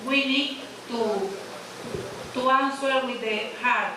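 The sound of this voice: Against audible room echo, a woman speaks slowly in a high voice. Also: ordinary pitch variation.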